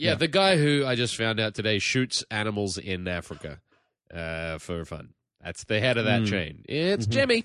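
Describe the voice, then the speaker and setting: Lively intonation marks this man's speech in an Australian accent. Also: medium pitch for a man, moderate pace. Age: 30s. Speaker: touring comedian, podcast guest.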